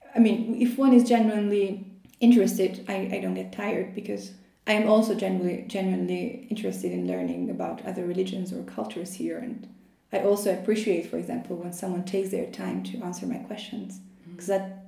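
A woman speaks at a very fast pace, her loudness swinging widely. Noticeable background noise and audible room echo fill the recording. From Albania. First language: Albanian. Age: 20s. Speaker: PhD student in Islamic studies. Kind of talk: interview conversation.

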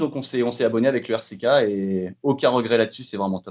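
A man is speaking. His pace is very fast. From Brittany, France (Fougères area). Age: 30s. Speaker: football fan. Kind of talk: casual chat. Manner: halting.

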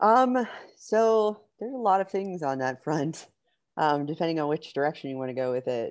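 Against a quiet background, a woman with an American accent speaks at a moderate pace in a fairly low voice, her pitch swinging very widely. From Pittsburgh, Pennsylvania. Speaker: competitive kayak angler and fishing instructor. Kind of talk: casual interview.

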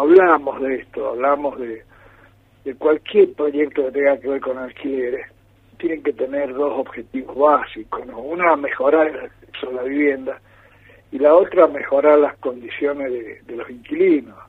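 This man has an ordinary speaking voice, fairly high in pitch, at a moderate pace. His intonation stays fairly even while his loudness swings widely. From Argentina, San Juan. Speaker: politician. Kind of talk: radio interview. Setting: phone call.

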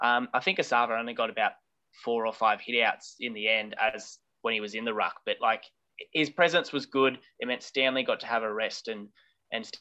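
A man speaks fairly quickly in an Australian accent, his pitch medium with ordinary variation. His tone is bright and sharp, and the background is quiet. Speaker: football podcast co-host. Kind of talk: casual chat.

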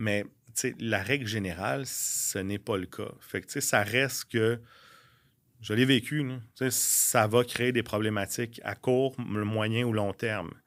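A man speaks at a medium pitch with ordinary pitch variation. It is a very clean recording with a silent background. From Quebec, Laurentides. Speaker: real estate broker and former restaurant owner. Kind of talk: casual interview chat.

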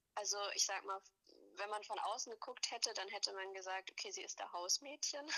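A woman with a plain, everyday voice and a medium pitch speaks fairly quickly with ordinary pitch variation. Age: 20s. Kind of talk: interview.

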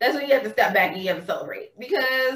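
A woman's high-pitched, raised and projected voice with a bright, sharp tone. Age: 30s. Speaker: body-awareness and self-love coach. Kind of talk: casual chat.

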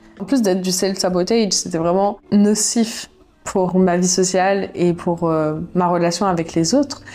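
Over noticeable background noise, a woman speaks at a fairly slow pace and medium pitch, with ordinary pitch variation and very even loudness. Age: 20s. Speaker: YouTuber and podcaster. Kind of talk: personal diary monologue. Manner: casual, conversational.

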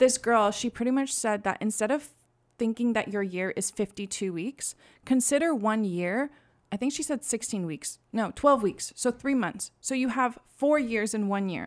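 An ordinary speaking voice with ordinary pitch variation moves at a moderate pace in a very clean recording with a silent background. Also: woman, fairly high pitch for a woman. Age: 20s. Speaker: student podcast host. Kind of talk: casual chat.

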